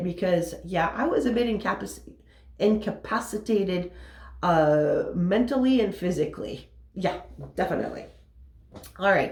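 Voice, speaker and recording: A woman at a moderate pace, ordinary pitch variation, very even loudness, and audible room echo. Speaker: motivational business coach. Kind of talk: motivational talk. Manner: casual.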